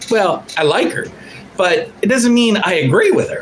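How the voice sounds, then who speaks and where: With noticeable background noise and audible room echo, a man speaks in a high pitch with very wide pitch swings. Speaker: livestream commentator. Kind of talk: casual livestream monologue. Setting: home studio livestream. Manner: animated.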